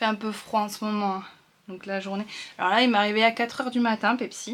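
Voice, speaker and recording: Speaking at a fairly quick pace, a woman with a fairly high pitch keeps a monotone, flat intonation. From northern France. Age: 30s. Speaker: sewing and knitting vlogger. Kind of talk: casual vlog talk. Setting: at home. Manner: hesitant, many fillers.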